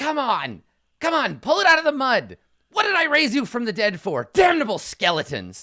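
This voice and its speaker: Shouting in a shrill, high-pitched put-on character voice, the speaker goes at a moderate pace. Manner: shouting, annoyed.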